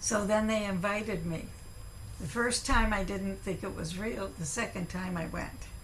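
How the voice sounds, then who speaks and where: Amid noticeable background noise and audible room echo, a woman with an American accent speaks at a moderate pace with medium pitch and fairly even intonation. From California. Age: 80s+. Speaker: professor. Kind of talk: lecture.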